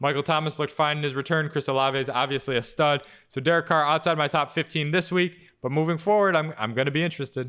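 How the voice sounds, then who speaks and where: Fairly high in pitch, this man's voice keeps a fairly even intonation. He speaks at a very fast pace. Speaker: fantasy football analyst co-host. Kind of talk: casual sports podcast chat.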